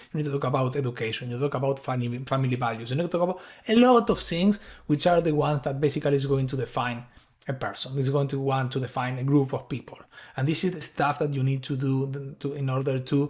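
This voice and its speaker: A man with an Argentine accent speaks at a very fast pace in a fairly high, somewhat breathy voice. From Argentina. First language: Spanish. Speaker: tech innovation lead. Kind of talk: conference talk.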